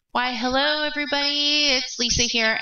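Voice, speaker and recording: Putting on a squeaky character voice, a woman talks at a high pitch and a moderate pace. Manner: goofy, silly.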